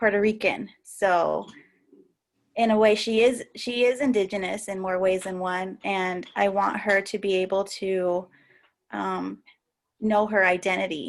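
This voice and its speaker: In a very clean recording with a silent background, a woman with an American accent speaks at a fairly slow pace and medium pitch, her intonation fairly even. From US Southwest, Albuquerque, New Mexico. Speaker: podcast host, panelist. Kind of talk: panel discussion. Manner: hesitant, many fillers and restarts.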